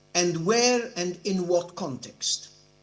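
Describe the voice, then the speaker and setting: A man speaks very slowly. Room echo can be heard. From Europe. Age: 70s. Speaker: judge. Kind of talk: conference speech. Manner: formal.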